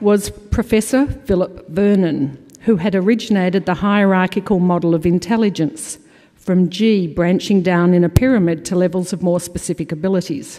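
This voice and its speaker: In an Australian accent, a woman with a dark, mellow tone and medium pitch speaks at a moderate pace with ordinary pitch variation against a quiet background. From Australia (Melbourne). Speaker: awards committee chair; conference presenter. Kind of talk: award presentation. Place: hall. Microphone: podium.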